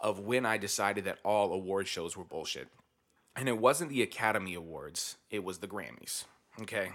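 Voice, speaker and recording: A man with fairly low pitch and ordinary pitch variation speaks in a normal speaking voice. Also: moderate pace. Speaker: podcast host. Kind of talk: casual banter podcast chat. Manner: laughs often, jokey.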